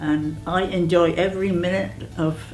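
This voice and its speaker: A woman speaks over background music, with audible echo in the room. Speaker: elderly service client. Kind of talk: documentary interview.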